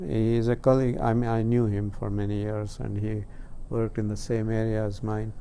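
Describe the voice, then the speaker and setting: A dark, mellow tone in monotone, flat intonation at a fairly quick pace, with audible room echo. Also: man, fairly low pitch for a man. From India, Karnataka. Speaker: scientist. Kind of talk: interview. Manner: halting.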